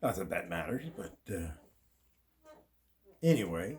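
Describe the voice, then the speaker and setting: The speaker is a man. There is some breathiness in his voice. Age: 70s. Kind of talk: casual talk to camera.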